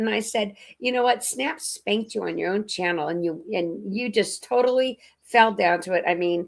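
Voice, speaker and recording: On a very clean recording with a silent background, a woman talks in an animated tone at a moderate pace. Her intonation is lively, and vocal fry runs through her voice. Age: 60s. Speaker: live stream host. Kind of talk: casual chat.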